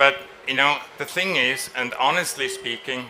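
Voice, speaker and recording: Noticeable background noise and audible room echo accompany a man who speaks fairly slowly. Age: 60s. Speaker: designer. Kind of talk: press conference interview. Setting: trade fair stage.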